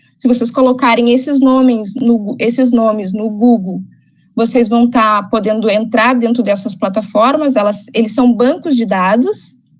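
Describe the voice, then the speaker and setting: A woman with a plain, everyday voice speaks fairly slowly at a fairly high pitch, her intonation fairly even. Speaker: ecologist and environmental consultant. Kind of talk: lecture.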